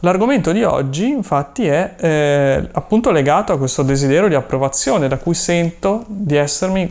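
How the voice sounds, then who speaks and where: With a high pitch and lively intonation, a man speaks at a moderate pace. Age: 30s. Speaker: YouTuber and online seller; YouTuber, online seller. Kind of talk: personal vlog monologue. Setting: room full of inventory boxes. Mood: thoughtful, personal. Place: home room.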